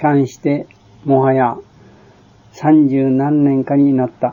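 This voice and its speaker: A man with a fairly high pitch has a cheerful tone but monotone, flat intonation. Long, frequent pauses and big swings in loudness mark his speech. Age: 60s. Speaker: war veteran, former Siberian internee. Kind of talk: reading a written memoir aloud. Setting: home or shop recording on cassette tape. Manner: sometimes sleepy, sometimes cheerful.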